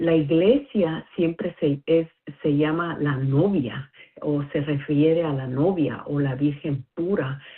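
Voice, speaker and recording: Spoken at a very slow pace with a non-native accent, the voice shows ordinary pitch variation. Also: woman, very deep, low pitch for a woman. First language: not Spanish (speaking Spanish). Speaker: listener sharing a message. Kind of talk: recorded listener message. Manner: halting, many fillers.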